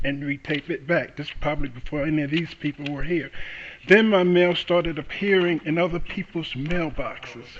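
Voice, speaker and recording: A man with an American accent speaks at a moderate pace in a fairly high pitch, with fairly even intonation and a plain, everyday voice. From New York City. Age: 60s. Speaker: defendant in court. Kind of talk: courtroom testimony. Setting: courtroom.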